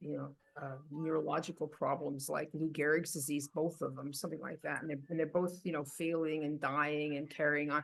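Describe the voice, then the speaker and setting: A woman talks at a moderate pace with a very deep, low pitch. Music plays in the background. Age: 70s. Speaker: health podcast host. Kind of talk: casual chat.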